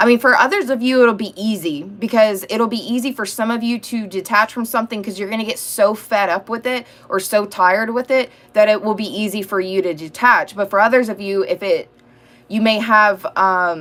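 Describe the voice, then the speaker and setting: A fairly high-pitched woman at a moderate pace, her pitch varying in an ordinary way. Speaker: tarot reader. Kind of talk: tarot reading livestream monologue. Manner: loud; casual, conversational.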